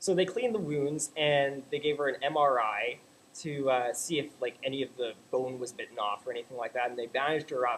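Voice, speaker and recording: With a Canadian accent, a man talks fairly quickly in a fairly high pitch over noticeable background noise. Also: ordinary pitch variation. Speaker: vlogger. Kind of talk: casual vlog rant. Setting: home webcam recording. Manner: animated.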